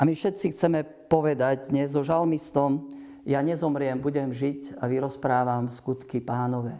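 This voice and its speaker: Dark, mellow tone at a fairly slow pace. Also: man, fairly high pitch for a man. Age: 60s. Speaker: priest. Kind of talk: religious TV talk.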